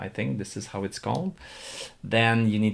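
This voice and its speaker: The speaker has a slight non-native accent on a very clean recording with a silent background. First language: not English. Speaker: stock market streamer. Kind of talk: live stream commentary. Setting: live stream. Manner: hesitant, many fillers.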